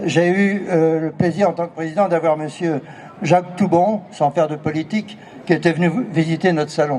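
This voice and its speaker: Against noticeable background noise, a man with a high voice speaks at a moderate pace, his intonation fairly even. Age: 70s. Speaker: artist, former art fair president. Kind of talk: speech at artists' meeting.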